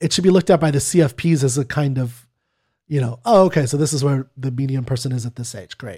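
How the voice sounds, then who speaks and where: Speaking at a very fast pace, a man uses a fairly high, somewhat breathy voice with a dark, mellow tone. The recording is very clean, with a silent background. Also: ordinary pitch variation. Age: 30s. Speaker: podcast co-host, non-expert. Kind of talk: casual chat.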